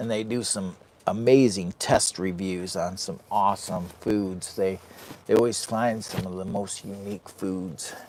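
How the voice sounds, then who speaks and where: A man with an American accent, fairly low in pitch, fairly slow, with big swings in loudness. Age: 50s. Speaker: outdoor vlogger. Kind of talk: live stream chat. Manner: animated.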